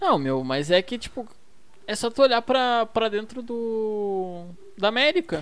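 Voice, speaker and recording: A fairly high-pitched woman's voice at a fairly slow pace, with very wide pitch swings. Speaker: football podcast host. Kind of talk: casual chat. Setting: at home.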